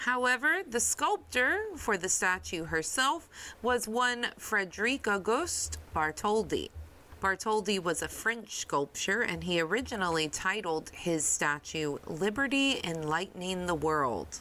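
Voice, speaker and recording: A woman's medium-pitched, bright, sharp voice with an American accent, a fairly slow pace, very wide pitch swings and very even loudness. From American Deep South. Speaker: podcast host. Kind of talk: history podcast narration. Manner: casual, chatty.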